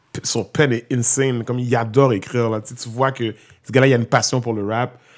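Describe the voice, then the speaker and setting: A man speaks in a normal speaking voice at a medium pitch and a moderate pace, with fairly even intonation. The recording is very clean, with a silent background. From Quebec, Montreal. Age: 30s. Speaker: hip-hop artist and youth worker. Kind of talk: casual interview.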